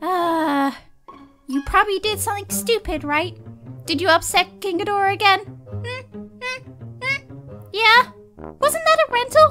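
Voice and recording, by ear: A woman's cartoonish character voice, extremely high-pitched, bright and sharp in tone, at a fairly slow pace, with faint music in the background. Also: ordinary pitch variation.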